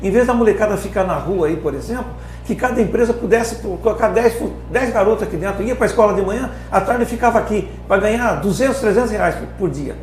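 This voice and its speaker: Noticeable background noise and audible room echo surround a man speaking at a fairly quick pace. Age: 60s. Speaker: company founder. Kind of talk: podcast interview. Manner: impassioned.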